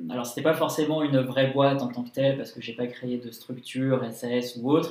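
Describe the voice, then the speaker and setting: A man at a medium pitch and a fairly quick pace, with noticeable background noise. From France, Lyon. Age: 20s. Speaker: entrepreneur. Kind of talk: interview. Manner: energetic; hesitant, many fillers.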